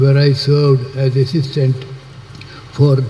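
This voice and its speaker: A man speaks very slowly with a fairly high pitch. Noticeable background noise runs under his voice. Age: 80s+. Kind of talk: public speech.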